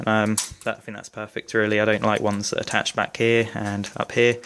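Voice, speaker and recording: A man talks fairly quickly at a medium pitch with a British accent. His intonation is monotone and flat. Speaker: airsoft gun reviewer. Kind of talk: product review tutorial. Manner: fast.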